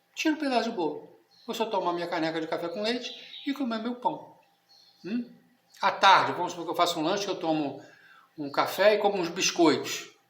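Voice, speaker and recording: Audible room echo surrounds a man with a high pitch and lively intonation. He talks at a fairly quick pace but leaves long, frequent pauses. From Brazil. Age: 60s. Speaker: catechism teacher. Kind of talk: lecture. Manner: conversational, informal.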